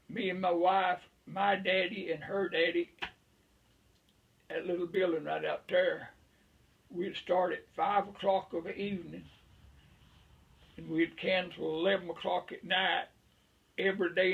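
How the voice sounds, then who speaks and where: A man with a rural Southern US accent talks at a high pitch with monotone, flat intonation and long, frequent pauses. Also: moderate pace. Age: 80s+. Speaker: veteran beekeeper. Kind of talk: casual chat.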